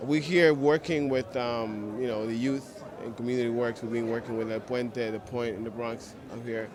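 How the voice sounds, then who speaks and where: With audible room echo and noticeable background noise, a man speaks at a medium pitch. He keeps a moderate pace with hardly any pauses and fairly even intonation. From Cuba. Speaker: hip hop producer. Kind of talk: interview.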